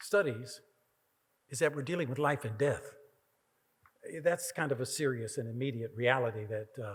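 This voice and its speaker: A man at medium pitch, somewhat breathy, with long, frequent pauses. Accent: American. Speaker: keynote speaker, professor. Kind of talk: Q&A answer.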